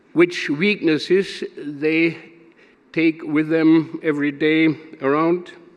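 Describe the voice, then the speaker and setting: A fairly high-pitched man at a very slow pace. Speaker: business partner giving a speech. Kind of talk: gala speech. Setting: stage with audience at a gala. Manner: slow and deliberate; halting with many fillers.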